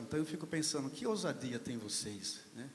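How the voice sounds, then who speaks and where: Over noticeable background noise, a man speaks at a medium pitch and a fairly quick pace with ordinary pitch variation. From Brazil, São Carlos (São Paulo state). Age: 60s. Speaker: panel speaker at literary event. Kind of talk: panel discussion remarks.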